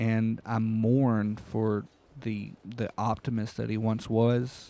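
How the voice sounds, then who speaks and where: A man's fairly low voice, dark and mellow in tone, with flat, monotone intonation. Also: very clean recording, silent background. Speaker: gaming YouTuber. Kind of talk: game review. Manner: halting, repeated words.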